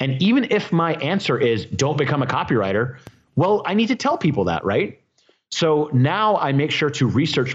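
A man speaks at a moderate pace with very wide pitch swings, very even loudness and vocal fry. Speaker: copywriting teacher. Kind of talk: interview podcast. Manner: casual, informal.

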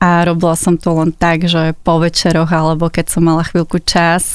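The woman talks at a moderate pace. Her voice is fairly low in pitch. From Slovakia, Záhorie region. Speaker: copywriter and Slovak language popularizer. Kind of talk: interview.

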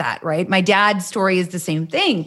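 With a Canadian accent and an unremarkable speaking voice, a woman talks at a moderate pace with ordinary pitch variation. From Canada. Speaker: podcast host. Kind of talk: interview.

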